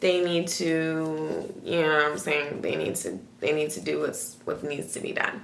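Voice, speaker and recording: The speech moves at a fairly slow pace. Audible room echo and noticeable background noise surround it. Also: woman. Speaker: youtuber. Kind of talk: casual reaction vlog. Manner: animated.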